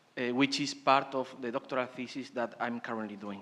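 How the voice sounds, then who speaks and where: A man speaks in a Spanish accent with monotone, flat intonation. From Spain. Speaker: PhD student presenter. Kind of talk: conference presentation. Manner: halting.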